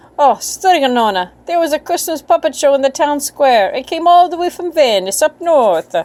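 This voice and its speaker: A whiny, put-on character voice at a moderate pace, on a very clean recording with a silent background. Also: woman, high pitch for a woman. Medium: read story. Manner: whiny, sheepish.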